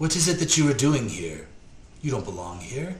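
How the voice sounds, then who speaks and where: A soft-spoken man in a put-on character voice, fairly high-pitched, at a moderate pace over clear background noise. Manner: stern, questioning.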